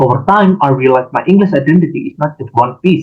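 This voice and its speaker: A fairly high-pitched male voice in an Indonesian accent, with ordinary pitch variation. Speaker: university student. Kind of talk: class presentation. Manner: halting.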